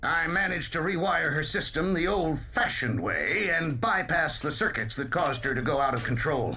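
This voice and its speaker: Over noticeable background noise, a man performs a cartoonish character voice at a fairly high pitch. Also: moderate pace, hardly any pauses. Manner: gruff.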